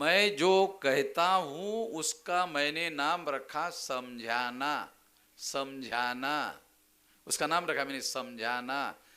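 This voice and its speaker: In a Marathi accent, a man speaks at a fairly high pitch with lively intonation and a bright, sharp tone. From Maharashtra, India. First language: Marathi (speaking Hindi). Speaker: political activist speaker. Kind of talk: public speech. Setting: convention stage with audience. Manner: explanatory, didactic.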